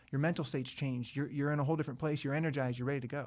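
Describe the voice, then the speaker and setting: On a very clean recording with a silent background, a man talks at a fairly high pitch with fairly even intonation. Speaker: startup founder. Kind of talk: casual chat. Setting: studio.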